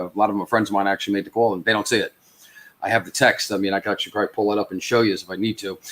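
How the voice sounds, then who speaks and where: A man with a New York accent. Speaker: social media platform founder. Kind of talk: live stream interview. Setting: live stream. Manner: halting, many fillers.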